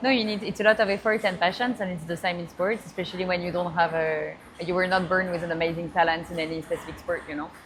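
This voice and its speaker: Speaking very fast with a French accent, a woman keeps a fairly even intonation at a fairly low pitch amid noticeable background noise. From France. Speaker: AI entrepreneur. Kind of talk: interview. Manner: halting.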